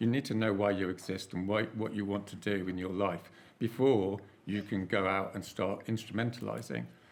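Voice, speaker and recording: A man speaks at a moderate pace with fairly low pitch, vocal fry, and fairly even intonation. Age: 60s. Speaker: climate activist, panelist. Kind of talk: panel discussion. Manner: halting, frequent repetitions; casual, informal.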